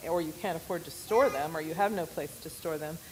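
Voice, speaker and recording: A woman with an American accent speaks with ordinary pitch variation amid audible room echo. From US West, Oregon. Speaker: missionary. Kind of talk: church presentation.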